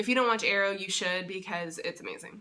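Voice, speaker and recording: With an American accent, a woman uses a bright, sharp tone, medium pitch, and lively intonation. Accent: thick southern accent when tired. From Texas. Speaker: vlogger and sign language interpreter. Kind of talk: casual vlog. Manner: hesitant, many fillers.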